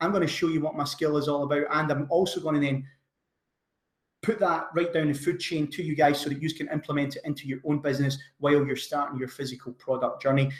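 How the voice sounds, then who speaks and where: A man talks with a Scottish accent in a fairly high pitch. His voice is somewhat breathy and his pace fairly quick. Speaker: online business coach. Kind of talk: webinar sales pitch. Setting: online webinar. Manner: energetic.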